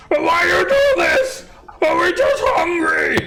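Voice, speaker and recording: A put-on character voice shouts at an extremely high pitch and a fairly slow pace. Loud background noise runs underneath. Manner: panicked, yelling.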